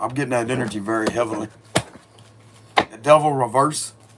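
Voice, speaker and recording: A man at a medium pitch, talking at a fairly quick pace with fairly even intonation over noticeable background noise. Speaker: tarot reader. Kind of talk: tarot reading. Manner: casual, conversational.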